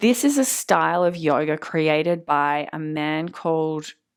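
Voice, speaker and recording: Recorded very cleanly against a silent background, a woman speaks with an Australian accent. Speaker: yoga teacher. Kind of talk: lecture.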